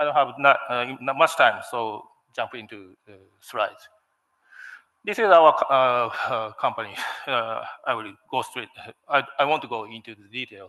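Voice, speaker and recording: A man with a Japanese accent talks at a moderate pace and medium pitch with ordinary pitch variation. His loudness swings a lot, and he leaves long, frequent pauses. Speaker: steel company manager. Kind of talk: conference presentation. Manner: halting, many fillers.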